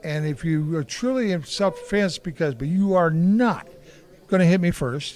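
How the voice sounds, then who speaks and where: A man with a high voice speaks in a Midwestern American accent. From Kansas City, Kansas. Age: 60s. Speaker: martial artist and former boxer. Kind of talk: interview. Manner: animated.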